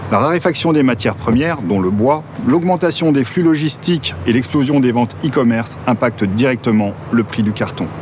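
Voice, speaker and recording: A man speaks at a moderate pace and a medium pitch, his loudness very even and his intonation lively, with noticeable background noise. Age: 50s. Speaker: business founder. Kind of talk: scripted narration. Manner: formal.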